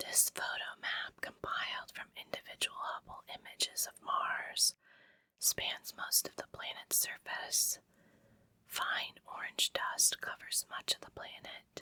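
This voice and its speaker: Someone whispers at a very slow pace in a calm tone. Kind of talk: ASMR book reading. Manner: whispered; calm, relaxing.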